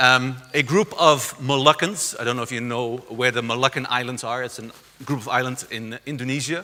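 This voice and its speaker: With a Dutch accent, a man talks at a moderate pace and a medium pitch. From southern Netherlands, rural area near Belgian border. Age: 50s. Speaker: conference speaker on community arts. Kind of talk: lecture. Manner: halting, many fillers.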